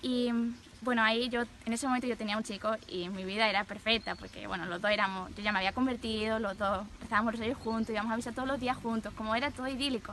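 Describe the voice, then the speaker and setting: Speaking at a very fast pace, a woman with a Spanish accent keeps a fairly high pitch and fairly even intonation. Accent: Peninsular Spanish. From Spain. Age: 20s. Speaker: nun. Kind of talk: testimony.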